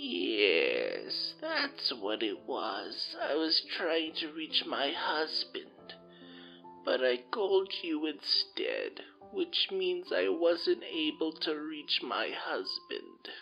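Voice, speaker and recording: A man uses a hoarse, put-on character voice at a very slow pace. Music plays clearly in the background. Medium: read story. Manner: gentle, meandering.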